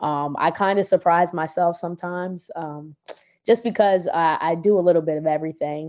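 A woman with an American accent speaks in a normal speaking voice at a fairly low pitch. Her pace is moderate and her intonation fairly even. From Virginia, US East Coast. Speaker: rapper and singer. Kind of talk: casual interview.

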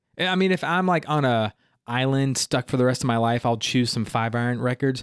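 The delivery is animated. The recording is very clean and silent in the background, with a dry, close sound and no echo. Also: man. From South Carolina (Greenville). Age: 30s. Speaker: youth pastor. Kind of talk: casual interview chat.

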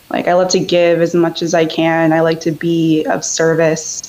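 A woman with an American accent speaks at a fairly slow pace and a fairly low pitch. Noticeable background noise runs behind her. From US, Northern Virginia. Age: 20s. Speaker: caller guest. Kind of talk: casual chat.

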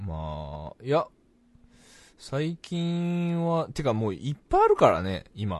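Very slow male speech against a quiet background. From Fukuoka, Japan. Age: 30s. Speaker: podcast co-host. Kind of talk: casual chat. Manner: frequent laughter.

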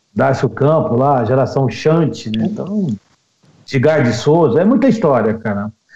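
Fairly high pitch for a man, a plain, everyday voice, lively intonation and a fairly slow pace. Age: 50s. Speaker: radio announcer. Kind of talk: casual interview chat.

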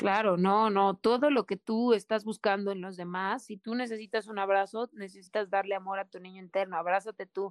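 Talking at a fairly quick pace with hardly any pauses, a woman with a Mexican accent keeps a medium pitch and fairly even intonation, her loudness swinging widely in a dry, close sound with no echo. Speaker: podcast co-host. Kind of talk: casual chat. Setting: remote call, in the mountains of Puebla.

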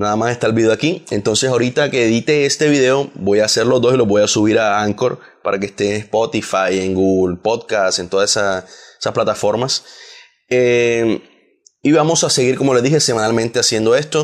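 This man has a normal speaking voice at medium pitch. He talks at a fairly quick pace with ordinary pitch variation. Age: 20s. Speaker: podcast host. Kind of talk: casual chat.

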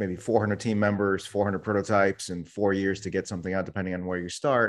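Against a quiet background, the speaker rushes along at a very fast pace in a monotone, flat delivery. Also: man. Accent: American. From New York City. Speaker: tech company CEO. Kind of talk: interview.

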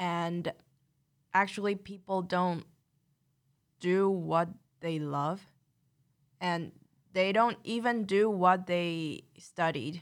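A woman with a Taiwanese accent speaks very slowly at a fairly low pitch, her intonation fairly even and broken by long, frequent pauses. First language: Mandarin. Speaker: graduate student. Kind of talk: casual chat.

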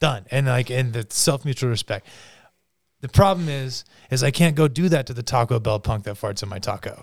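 A man with a medium pitch and ordinary pitch variation speaks at a fairly quick pace in a somewhat breathy voice, on a very clean recording with a silent background. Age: 30s. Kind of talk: casual chat. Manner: animated.

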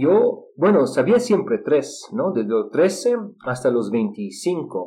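Speaking in a Russian accent at a very slow pace, the voice has a dark, mellow tone, vocal fry and very wide pitch swings. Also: man, fairly high pitch for a man. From Israel. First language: Russian (speaking Spanish). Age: 30s. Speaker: polyglot and English teacher. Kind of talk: interview. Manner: halting with fillers.

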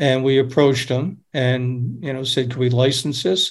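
The speaker has an American accent and a somewhat breathy voice. The pace is moderate. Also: man. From upstate New York. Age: 70s. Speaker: documentary director. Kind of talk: casual chat. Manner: halting.

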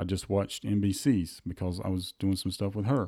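A dark, mellow tone carries a Southern US accent. The recording is very clean, with a silent background. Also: man. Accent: US South. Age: 40s. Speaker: golf podcast host. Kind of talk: casual chat.

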